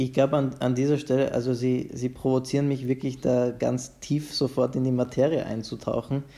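A man's medium-pitched, dark, mellow voice at a moderate pace, with hardly any pauses, monotone, flat intonation and very even loudness. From Vienna, Austria. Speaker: conductor and violinist. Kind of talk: interview. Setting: video call from home. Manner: halting, many repetitions.

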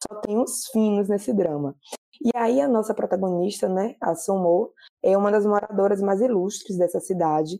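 At a moderate pace, a woman speaks in a normal speaking voice with a medium pitch and ordinary pitch variation. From Bahia, Brazil. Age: 30s. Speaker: drama reviewer, social media page owner. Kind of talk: casual chat.

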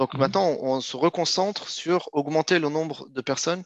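The sound is dry and close, with no echo. A man speaks at a moderate pace with fairly even intonation. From France, Clermont-Ferrand (Auvergne), arrived from Morocco aged two. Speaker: startup founder in finance. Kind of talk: interview. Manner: halting, many hesitations and repetitions.

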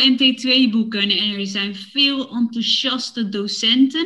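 Speaking at a very slow pace, the woman has a high pitch and a bright, sharp tone. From Netherlands, Woerden (Utrecht). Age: 30s. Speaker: podcast host for Dutch learners. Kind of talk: scripted casual chat for language learners.

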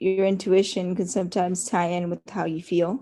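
With a quiet background, a woman in an American accent speaks at a medium pitch and a moderate pace. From Northern California, Watsonville. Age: 20s. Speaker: podcast guest. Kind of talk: casual interview chat. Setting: call. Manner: hesitant, many fillers.

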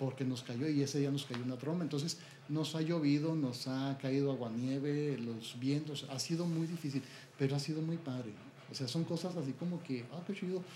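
With fairly even intonation, a man with a fairly high voice speaks at a moderate pace amid audible room echo. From Mexico, Chihuahua. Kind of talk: interview testimony. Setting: at his home.

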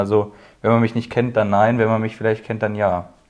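In a quiet background, a man with a medium pitch speaks fairly quickly in a flat, monotone way. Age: 20s. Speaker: apprentice painter and decorator. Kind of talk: casual chat.

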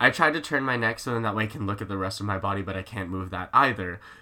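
A man's bright, sharp voice at a fairly quick pace. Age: young. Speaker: host's brother, guest. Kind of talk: casual chat. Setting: home recording with laptop microphone.

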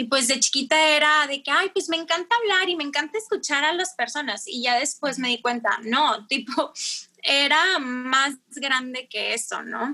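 A woman with a high pitch uses a raised, projected voice and a bright, sharp tone, her intonation lively and her pace fairly slow. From Mexico, Tijuana. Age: 20s. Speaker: teacher. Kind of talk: casual chat.

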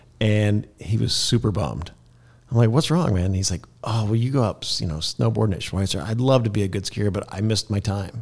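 In an American accent, a man talks at a fairly quick pace in a somewhat breathy, fairly low voice with ordinary pitch variation. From Kansas. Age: 50s. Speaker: real estate broker. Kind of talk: interview. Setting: studio.

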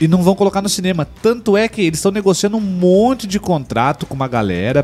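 A man at a fairly quick pace, with very wide pitch swings and music in the background. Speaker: live TV show co-host. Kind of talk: casual chat. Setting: studio.

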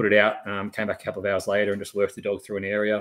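Fairly low in pitch, a man talks with an Australian accent. The recording is very clean, with a silent background. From Australia, Lithgow and western Sydney. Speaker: army veteran and dog trainer. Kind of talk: casual interview.

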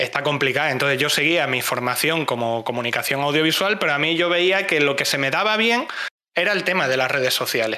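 The pace is moderate. The intonation is lively. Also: man. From Spain, Cáceres (Extremadura). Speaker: community manager and streamer. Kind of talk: casual chat.

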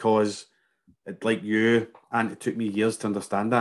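Over a quiet background, a man with a fairly low pitch and a Glasgow accent speaks at a very fast pace. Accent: Scottish, Glasgow. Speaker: fitness business coach. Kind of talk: casual chat.

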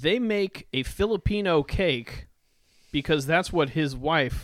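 Heard in a dry, close sound with no echo on a very clean recording with a silent background, a man with an unremarkable speaking voice talks at a fairly slow pace with lively intonation. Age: 30s. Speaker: podcast co-host. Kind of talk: casual chat.

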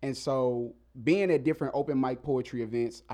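In an American accent, a man speaks at medium pitch with a dark, mellow tone. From Mississippi, US South. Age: 30s. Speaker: rapper and spoken word artist. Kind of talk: casual interview chat. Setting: studio.

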